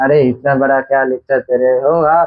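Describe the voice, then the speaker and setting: A man is speaking. He has a non-native accent. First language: not Hindi (speaking Hindi). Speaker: math teacher. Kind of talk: lecture. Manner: halting; casual.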